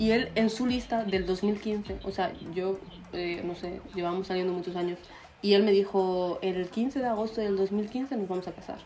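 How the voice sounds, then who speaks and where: Noticeable background noise runs under a woman's voice. She talks at a moderate pace and medium pitch with fairly even intonation. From Spain. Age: 20s. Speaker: podcast co-host. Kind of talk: casual chat.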